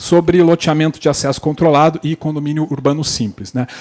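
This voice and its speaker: A man with a Paraná accent talks at a fairly quick pace. His pitch is fairly high, with a dark, mellow tone. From Paraná, southern Brazil. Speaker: panel moderator, lawyer. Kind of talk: conference panel moderation. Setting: stage with audience. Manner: hesitant, many fillers.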